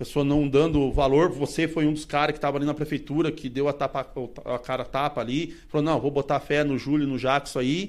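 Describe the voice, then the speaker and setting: A man at a fairly high pitch and fairly quick pace, monotone and flat in intonation, on a very clean recording with a silent background. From southern Brazil, Paraná. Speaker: vintage car collector. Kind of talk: casual chat.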